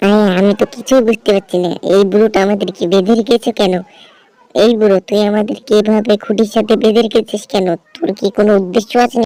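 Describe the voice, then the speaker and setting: A cartoonish character voice carries the speech. The pace is moderate. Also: female-sounding voice, medium pitch for a woman. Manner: sneaky, scheming.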